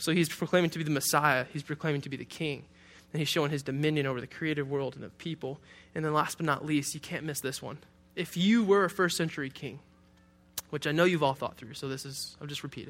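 A man with an American accent, fairly high pitch, a very fast pace and big swings in loudness. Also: very clean recording, silent background. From Detroit, Michigan. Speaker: pastor. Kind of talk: sermon. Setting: church. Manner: animated.

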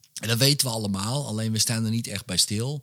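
Recorded very cleanly with a silent background, a man speaks in a plain, everyday voice, fairly low in pitch with ordinary pitch variation. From Netherlands, Wormerveer (North Holland). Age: 40s. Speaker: hypnotist and author. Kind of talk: casual interview chat. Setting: his home man cave.

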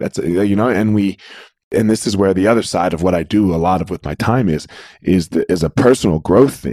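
With an American accent, a man has a plain, everyday voice at a fairly low pitch, ordinary pitch variation and a fairly quick pace. The recording is very clean with a silent background, and the sound is dry and close, with no echo. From US Northeast, South Jersey. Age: 40s. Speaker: former MMA fighter and martial arts coach. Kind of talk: interview.

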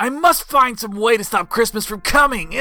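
Growling in a put-on character voice, a man pitches himself extremely high. His voice is raised and projected, at a moderate pace. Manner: growling, scheming.

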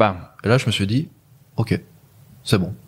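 Somewhat breathy, a man speaks at a very slow pace with ordinary pitch variation. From Luxembourg. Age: 20s. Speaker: e-commerce entrepreneur. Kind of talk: casual chat. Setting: at the hosts' home.

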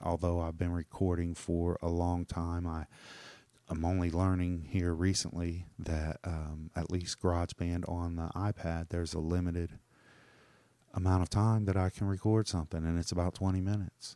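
A dark, mellow tone comes through on a very clean recording with a silent background. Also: man, very deep, low pitch for a man. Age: 40s. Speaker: podcaster. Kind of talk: solo monologue. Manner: fast when excited, fumbling; casual, profane, self-deprecating.

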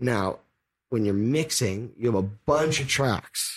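Speaking with an American accent, a man with a fairly low pitch sounds somewhat breathy and uses lively intonation on a very clean recording with a silent background. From Bay Area, California. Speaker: music producer. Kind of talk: casual interview. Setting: home studio.

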